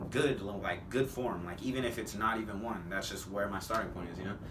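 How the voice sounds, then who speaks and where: The speech runs at a very fast pace with fairly even intonation. Noticeable background noise sits behind it. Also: man. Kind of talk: casual talk to camera.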